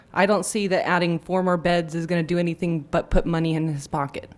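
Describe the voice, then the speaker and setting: Speaking at a fairly quick pace in an unremarkable speaking voice, a woman with an American accent keeps a fairly low pitch and fairly even intonation. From Placerville, California. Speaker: resident and parent. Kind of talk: public comment at council meeting. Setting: city council chamber.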